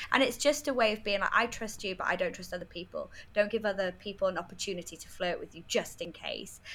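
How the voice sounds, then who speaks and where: A woman with a North Welsh accent at medium pitch, very fast with hardly any pauses, ordinary pitch variation and big swings in loudness. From North Wales. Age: 20s. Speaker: freelance writer. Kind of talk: casual interview.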